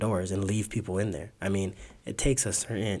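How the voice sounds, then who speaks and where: With an American accent, a man with a fairly low pitch and an unremarkable speaking voice talks at a fairly quick pace. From South Tucson, Arizona. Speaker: youth basketball coach. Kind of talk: casual chat.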